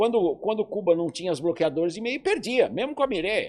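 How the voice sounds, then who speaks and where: A high-pitched man's voice with lively intonation against a quiet background. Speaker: sports broadcaster, journalist. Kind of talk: interview answer.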